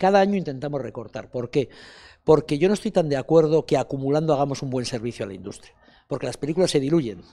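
Over a quiet background, a man with a fairly high pitch and a dark, mellow tone talks at a very fast pace with lively intonation and big swings in loudness. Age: 60s. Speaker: film festival director; interviewee. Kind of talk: interview. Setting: festival interview set. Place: hall. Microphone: handheld.

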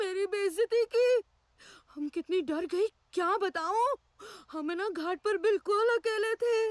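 In a put-on character voice, the speaker whines at an extremely high pitch and a moderate pace. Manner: whiny, theatrical.

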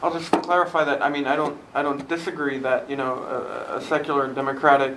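Fairly quick speech against noticeable background noise, with audible room echo. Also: man. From Germany. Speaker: translator, recent graduate. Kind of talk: panel discussion.

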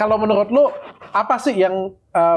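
A man speaks against a quiet background. His pitch swings very widely. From Indonesia. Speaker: host interviewer. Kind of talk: casual interview chat. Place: home room. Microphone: lapel.

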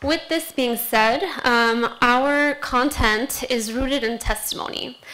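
A woman projects her voice, raised and high-pitched. Her pace is very slow. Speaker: education specialist; presenter. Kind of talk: panel presentation. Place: hall. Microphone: podium.

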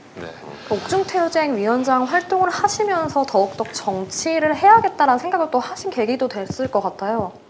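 With light background noise, a woman talks at a moderate pace with hardly any pauses. Her high pitch moves in very wide swings. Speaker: announcer. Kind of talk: live talk show. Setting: studio. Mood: friendly, engaged. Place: studio. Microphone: lapel.

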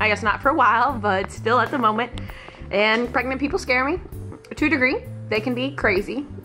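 A moderate pace over clear background music. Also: woman. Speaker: vlogger. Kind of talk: casual vlog chat. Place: home room. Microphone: phone near.

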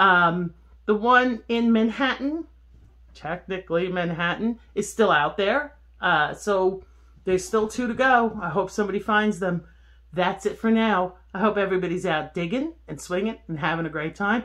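The background is kept quiet. A woman talks at a moderate pace. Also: ordinary pitch variation. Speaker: metal detecting vlogger. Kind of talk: casual vlog chat. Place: home room. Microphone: phone near.

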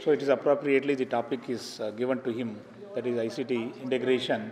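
Monotone, flat intonation marks this man's fairly quick delivery. Light background noise sits behind him. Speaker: conference host introducing speaker. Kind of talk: formal introduction speech. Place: hall. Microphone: podium.

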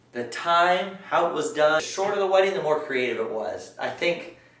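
A man at a fairly high pitch and moderate pace, with a fairly bright tone, lively intonation and strong room echo.

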